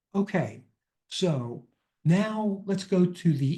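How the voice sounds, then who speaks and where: Against a quiet background, a man with a dark, mellow, somewhat breathy voice talks at a very slow pace, his pitch swinging very widely. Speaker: financial advisor presenting a webinar. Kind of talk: webinar presentation. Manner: hesitant with filler words.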